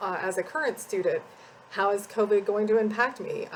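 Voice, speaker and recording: A woman with a Midwestern US accent, medium-pitched with fairly even intonation at a moderate pace, over noticeable background noise. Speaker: academic advisor. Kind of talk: casual chat. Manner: informal, many fillers.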